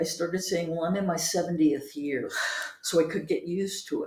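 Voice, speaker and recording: Somewhat breathy and at a moderate pace, the voice carries ordinary pitch variation against audible room echo. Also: woman. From New York, Brooklyn. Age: 70s. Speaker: interviewee. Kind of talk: casual chat.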